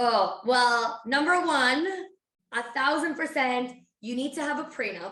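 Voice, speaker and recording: A woman's raised, projected voice, high-pitched and bright and sharp in tone, at a fairly slow pace with ordinary pitch variation and audible room echo. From Spain (Barcelona). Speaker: financial advisor. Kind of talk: podcast interview.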